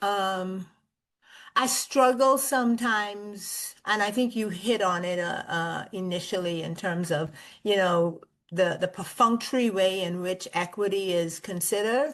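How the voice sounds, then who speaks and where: In a slight Bahamian accent, the speaker talks with ordinary pitch variation over a quiet background. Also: woman. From Bahamas. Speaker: school district executive. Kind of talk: podcast interview.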